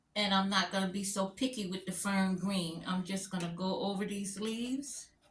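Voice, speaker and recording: Noticeable background noise sits behind a woman's voice. She has a medium pitch and fairly even intonation. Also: moderate pace. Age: 60s. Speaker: crafter and stencil designer. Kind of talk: live craft tutorial. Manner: casual, chatty.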